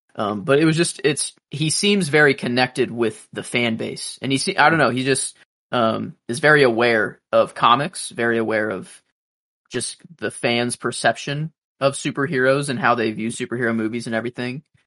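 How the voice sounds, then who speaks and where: The man's tone is bright and sharp, pitched in the medium range. His pace is moderate and his pitch moves in an ordinary way. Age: 20s. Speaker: podcast co-host discussing comic book movies. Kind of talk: casual chat. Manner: halting.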